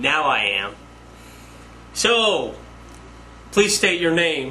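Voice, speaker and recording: A man speaks at a high pitch with very wide pitch swings, at a very slow pace. Noticeable background noise runs underneath. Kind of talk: casual interviewer.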